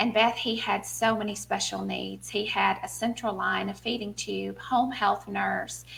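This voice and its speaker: A woman with a Southern US accent talks with hardly any pauses against noticeable background noise. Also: fairly slow pace. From US South, small town. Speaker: author and speaker. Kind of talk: interview testimony.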